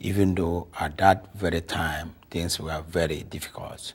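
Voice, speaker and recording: Somewhat breathy, the speaker talks fairly slowly in a Nigerian accent with monotone, flat intonation. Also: man. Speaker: lawyer, immigrant interviewee. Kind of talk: interview. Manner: halting.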